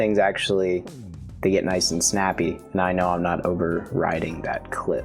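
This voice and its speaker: Over music in the background, a man with a very deep, low pitch speaks in a relaxed tone with ordinary pitch variation. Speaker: YouTube video creator giving a tutorial. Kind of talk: casual instructional talk to camera. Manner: relaxed, conversational.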